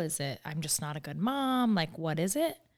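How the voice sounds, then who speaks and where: A woman talks in an unremarkable speaking voice, fairly low in pitch. Her intonation is lively. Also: very clean recording, silent background. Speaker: podcast host and founder. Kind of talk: casual interview chat. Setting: studio.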